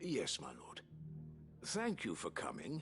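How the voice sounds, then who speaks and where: Clear music plays behind a man doing a raspy, put-on character voice at a fairly slow pace. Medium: video game. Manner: formal, deferential.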